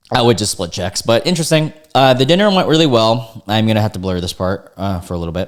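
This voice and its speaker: Delivered at a very fast pace, the speech has lively intonation and an animated tone. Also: man. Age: 20s. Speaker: reddit story reaction youtuber. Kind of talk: reading aloud with casual commentary.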